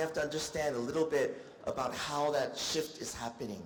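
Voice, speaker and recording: Noticeable background noise and audible room echo surround the speaker. He is a man with a fairly high pitch. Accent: American. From United States. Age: 50s. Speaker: doctor. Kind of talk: lecture. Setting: stage with audience.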